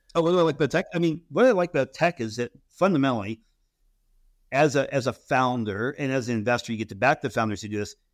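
Speaking very fast with an American accent and lively intonation, a man at medium pitch is captured in a very clean recording with a silent background and a dry, close sound with no echo. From US West Coast. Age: 40s. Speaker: venture capital investor and former Marine. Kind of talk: interview.

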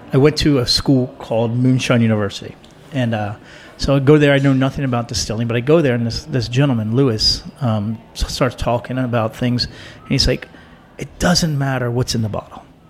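Over noticeable background noise, a man of medium pitch speaks at a fairly quick pace with fairly even intonation. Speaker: restaurateur guest. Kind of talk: casual chat.

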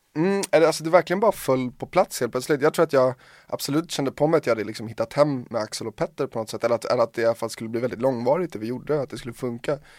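Talking at a very fast pace with hardly any pauses, a man at a medium pitch comes through with a dry, close sound and no echo. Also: ordinary pitch variation, very clean recording, silent background. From Sweden, Hungarian parents. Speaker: DJ and producer. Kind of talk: casual chat.

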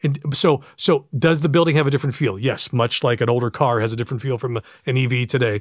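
The speaker has an American accent and a somewhat breathy voice at a very fast pace with ordinary pitch variation. The recording is very clean with a silent background. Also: man, medium pitch for a man. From western Pennsylvania. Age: 50s. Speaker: PA announcer. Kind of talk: casual chat. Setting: home studio.

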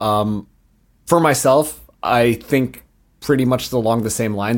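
A man with an unremarkable speaking voice, a medium pitch and ordinary pitch variation. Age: 20s. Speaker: podcast host. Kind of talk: casual chat.

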